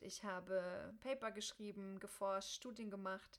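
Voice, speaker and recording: Monotone and flat in intonation, a woman at medium pitch speaks at a moderate pace. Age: 30s. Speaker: podcast host and coach. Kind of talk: solo podcast monologue.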